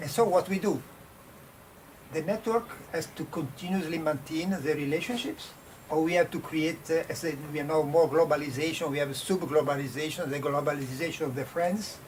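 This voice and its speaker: A man with an Italian accent talks fairly quickly at a fairly high pitch. Noticeable background noise sits behind him. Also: ordinary pitch variation. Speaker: design professor. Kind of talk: panel discussion. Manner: halting.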